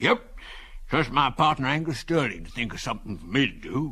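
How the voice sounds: A man does a put-on character voice that is fairly high and wheezy, with lively intonation and a fairly quick pace.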